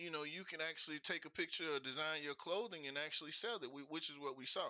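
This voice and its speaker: A man with a fairly high pitch rattles through his words at a very fast pace. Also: ordinary pitch variation. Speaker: investing show host. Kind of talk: livestream talk.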